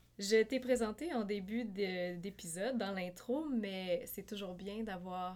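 In a plain, everyday voice, a woman speaks at medium pitch with ordinary pitch variation. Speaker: podcast host. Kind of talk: casual interview.

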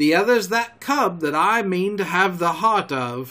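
Putting on a character voice, a man talks fairly slowly in a high pitch with lively intonation and a bright, sharp tone.

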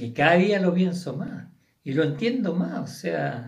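Speaking fairly slowly in a high pitch, a man swings his pitch very widely while the room echoes audibly. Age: 70s. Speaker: host's father, guest. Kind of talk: casual chat.

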